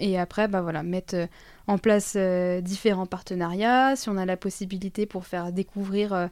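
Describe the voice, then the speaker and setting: A woman's dark, mellow, medium-pitched voice at a fairly slow pace with fairly even intonation, in a very clean recording with a silent background. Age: 20s. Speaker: early childhood educator. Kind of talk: casual interview chat. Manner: hesitant, many fillers.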